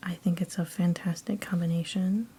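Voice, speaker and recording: A soft-spoken woman talks at a moderate pace and medium pitch. Her intonation stays fairly even. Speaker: ASMR artist. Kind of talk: ASMR casual ramble.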